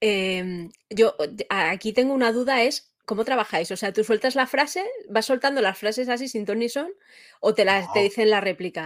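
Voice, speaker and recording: In a very clean recording with a silent background, a woman speaks in a plain, everyday voice, with a fairly high pitch and a moderate pace. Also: ordinary pitch variation. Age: 40s. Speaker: interviewer. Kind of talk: interview.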